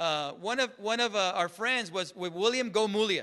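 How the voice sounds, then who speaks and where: A man's raised, projected voice with a bright, sharp tone, at a moderate pace over a quiet background. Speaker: church minister. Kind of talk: sermon.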